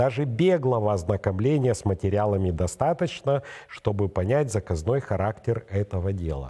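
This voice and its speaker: Fairly low in pitch, a man talks at a moderate pace with a dark, mellow tone. His voice is somewhat breathy, and the background is quiet. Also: lively intonation. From Moldova. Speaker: political commentator and show co-host; political commentator, show co-host. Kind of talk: studio political analysis talk show. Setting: studio. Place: studio. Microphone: lapel.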